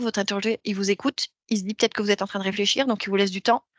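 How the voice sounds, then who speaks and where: A woman speaks with fairly even intonation. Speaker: career coach. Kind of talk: workshop talk. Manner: hesitant fillers.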